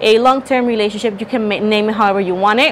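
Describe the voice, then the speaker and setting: A woman talking at a very fast pace over light background noise. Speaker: tarot reader. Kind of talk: tarot reading monologue. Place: home room. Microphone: lapel.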